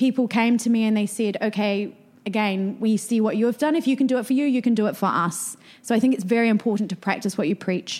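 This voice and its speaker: In a New Zealand accent, a somewhat breathy woman speaks very fast at a fairly high pitch. Her loudness stays very even. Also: ordinary pitch variation. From New Zealand (rural Canterbury). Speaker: marketing and PR entrepreneur. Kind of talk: interview conversation.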